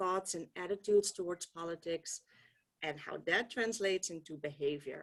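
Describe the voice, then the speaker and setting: With a Dutch accent, a woman is talking. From Netherlands. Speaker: political science professor. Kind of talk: keynote talk. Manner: hesitant, many ums.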